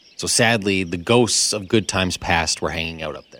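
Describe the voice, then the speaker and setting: The man has an unremarkable speaking voice, set fairly low. He talks fairly quickly, and his pitch moves in an ordinary way. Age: young. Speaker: radio and podcast co-host. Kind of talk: casual chat. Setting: studio.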